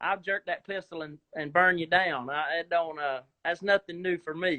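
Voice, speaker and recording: A man talks in a Southern US accent. His pitch is high and his pace moderate. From US South, South Georgia. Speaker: actor. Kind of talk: casual chat. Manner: animated. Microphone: video freezing during call.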